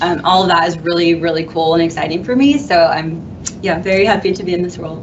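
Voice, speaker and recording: A woman with an American accent speaks at a very fast pace in a fairly low pitch with ordinary pitch variation. Light background noise is present. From Southern California. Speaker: supplier diversity manager; panelist. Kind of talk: panel discussion. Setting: live panel in a room, streamed online. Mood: warm, enthusiastic. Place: studio.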